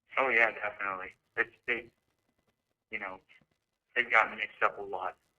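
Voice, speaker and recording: A man with an unremarkable speaking voice, fairly low in pitch, at a fairly quick pace with fairly even intonation. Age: young. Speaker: college student. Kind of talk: casual chat. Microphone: echoing audio.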